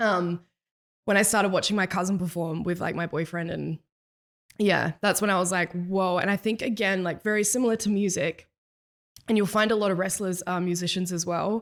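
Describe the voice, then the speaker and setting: A woman talks with an Australian accent at a medium pitch and a fairly quick pace. Her intonation stays fairly even. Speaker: musician. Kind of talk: casual chat.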